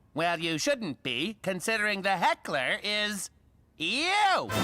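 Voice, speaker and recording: Delivered at a fairly slow pace, the cartoonish character voice stays at a middle pitch. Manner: dry, matter-of-fact.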